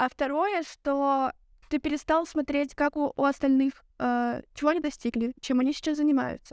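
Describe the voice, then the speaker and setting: In a very clean recording with a silent background, a woman speaks at a high pitch with a dry, close sound and no echo. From Belarus. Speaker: guest, media student and event worker. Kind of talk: casual conversational podcast.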